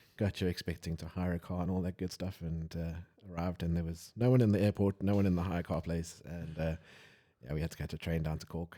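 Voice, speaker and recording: Spoken very fast with fairly even intonation, this dark, mellow voice has a South African accent and comes through a very clean recording with a silent background. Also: man, very deep, low pitch for a man. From South Africa, Johannesburg. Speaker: wedding photographer, podcast host. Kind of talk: casual chat.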